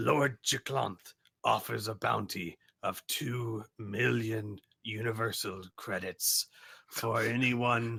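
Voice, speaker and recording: In a put-on character voice, a man speaks with a raspy sound at medium pitch. His delivery is very slow and his intonation fairly even. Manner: announcing.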